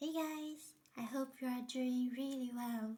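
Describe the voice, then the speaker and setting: A woman with a high pitch and a dark, mellow tone speaks at a fairly slow pace with fairly even intonation. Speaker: craft tutorial maker. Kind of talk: tutorial.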